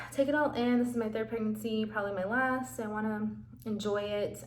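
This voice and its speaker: Over noticeable background noise and audible room echo, a woman speaks at a moderate pace in a fairly high pitch with ordinary pitch variation. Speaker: vlogger. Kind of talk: casual vlog talk to camera.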